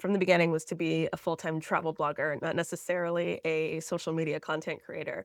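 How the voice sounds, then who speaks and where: With an American accent, a woman in an ordinary speaking voice talks fairly quickly at a fairly low pitch, on a very clean recording with a silent background. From Florida, US. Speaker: travel content creator. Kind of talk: podcast interview.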